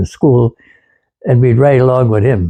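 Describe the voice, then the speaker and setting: A somewhat breathy man's voice of medium pitch, with an American accent. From Wisconsin, USA. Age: 80s+. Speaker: World War II veteran, former farm boy. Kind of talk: interview answer, reminiscing about childhood. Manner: relaxed, conversational, reminiscing.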